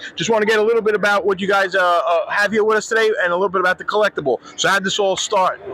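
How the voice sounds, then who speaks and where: Through noticeable background noise, a man with a Brooklyn accent and a high, raised, projected voice speaks at a very fast pace with hardly any pauses, very even loudness, and fairly even intonation. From Brooklyn, New York. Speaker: podcast host. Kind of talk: casual interview.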